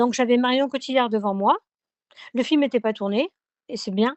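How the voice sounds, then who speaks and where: With ordinary pitch variation, the speaker rattles along at a very fast pace in a southern French accent. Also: woman. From southern France. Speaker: singer. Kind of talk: radio interview. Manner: hesitant, many fillers.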